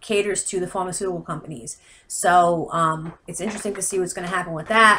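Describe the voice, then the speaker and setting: A woman's bright, sharp voice with an American accent, fairly low in pitch, on a very clean recording with a silent background. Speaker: healthcare consultant. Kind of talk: informal explainer video. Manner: fast; hesitant, many fillers.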